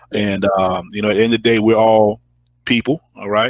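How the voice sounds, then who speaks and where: Heard in a dry, close sound with no echo, a man speaks with fairly even intonation. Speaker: financial advisor. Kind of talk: interview. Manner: casual, halting with repetitions.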